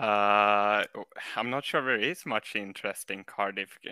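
The sound is dry and close, with no echo. A man with a Swedish accent speaks in a bright, sharp tone. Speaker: caller. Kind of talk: comedic call-in chat. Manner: halting.

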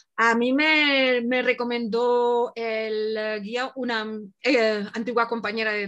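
A woman speaks with fairly high pitch. Her intonation stays fairly even. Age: 50s. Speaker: traveler. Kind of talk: casual interview.

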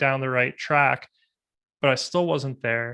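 A man is talking. His voice sits at a fairly high pitch. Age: 30s. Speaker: podcast host. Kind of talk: interview conversation.

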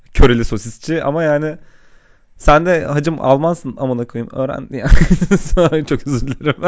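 The man speaks at a moderate pace in an ordinary speaking voice. His pitch is fairly high, with ordinary pitch variation. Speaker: software engineer, podcast co-host. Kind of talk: casual chat. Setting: home studio. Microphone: mic held close, popping plosives.

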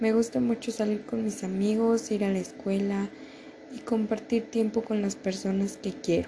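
A woman with a fairly high pitch speaks at a moderate pace and fairly even intonation over noticeable background noise. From Mexico, State of Mexico (Toluca). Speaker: university student. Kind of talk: class assignment presentation.

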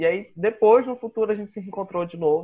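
The pace is moderate as a man talks. The pitch shows ordinary variation. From Brazil, Boa Vista, Roraima. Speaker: podcast co-host, illustrator. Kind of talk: casual chat.

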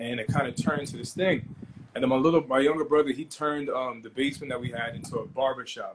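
Speaking very fast in a New York accent, this man has a fairly high pitch. His intonation is fairly even, but his loudness swings widely. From Long Island, New York. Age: 20s. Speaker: food and streetwear entrepreneur. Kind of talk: casual interview. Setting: Instagram Live.

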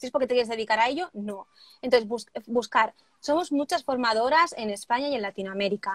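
With an unremarkable speaking voice, a woman talks fairly quickly at a fairly high pitch with lively intonation, in a dry, close sound with no echo. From Spain, Barcelona. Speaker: wedding planner and trainer. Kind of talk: casual interview (live stream). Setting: live video stream.

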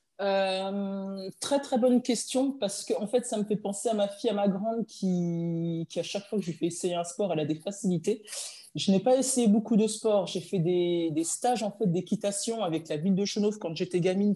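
A woman speaks at a moderate pace. Her voice is medium in pitch with ordinary pitch variation. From France, Dijon. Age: 30s. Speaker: former professional handball player. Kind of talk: interview. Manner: hesitant, many fillers.

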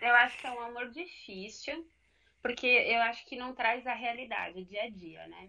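A woman's fairly high voice, bright and sharp in tone, at a fairly slow pace. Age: 30s. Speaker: coach. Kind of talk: live podcast discussion. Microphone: connection freezing.

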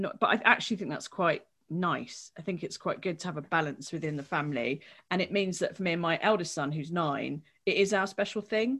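Speaking at a fairly quick pace with an English accent, a woman's fairly low voice comes through over a quiet background. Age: 40s. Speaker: games journalist and comedian. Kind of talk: interview.

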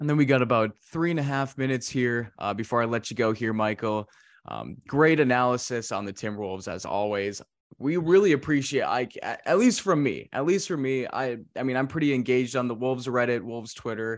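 Against a quiet background, a man with a normal speaking voice talks at a fairly quick pace and medium pitch, using ordinary pitch variation. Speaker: sports podcast host. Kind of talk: casual interview chat.

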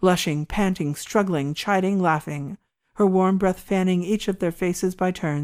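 A natural voice reading aloud, ordinary pitch variation, and a quiet background

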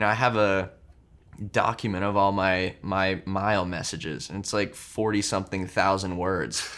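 In a normal speaking voice, the speaker goes at a moderate pace with fairly even intonation. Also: man, fairly low pitch for a man. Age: 20s. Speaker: content creator and mindset coach. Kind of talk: casual chat.

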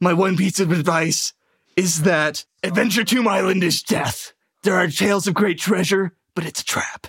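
A man puts on a character voice, pitched high, at a moderate pace. The intonation stays fairly even, and the sound is dry and close with no echo. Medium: actual play. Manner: dramatic, earnest.

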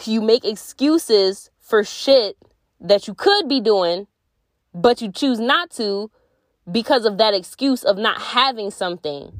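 A woman speaks at a fairly slow pace in a fairly high pitch. Her pitch variation is ordinary. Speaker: podcast host. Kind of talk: casual solo monologue. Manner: laughing often.

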